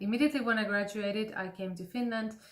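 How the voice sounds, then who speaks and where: A woman speaks with a Greek accent and ordinary pitch variation. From Greece, Athens. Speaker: classical voice teacher. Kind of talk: casual talk to camera.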